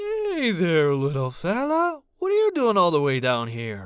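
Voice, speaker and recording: A moderate pace carries this speech. It's a put-on character voice pitched in the middle range. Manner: cooing, friendly.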